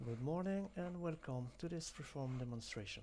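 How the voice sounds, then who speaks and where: Speaking with a French accent, a man uses lively intonation in a somewhat breathy voice. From France. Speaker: software demonstrator. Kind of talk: tutorial.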